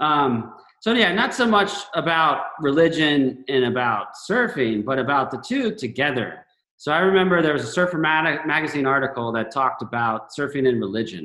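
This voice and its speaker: This man has an American accent and an ordinary speaking voice, pitched fairly high. He speaks at a moderate pace with lively intonation. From Florida, Gainesville. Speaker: surfer. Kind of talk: casual chat.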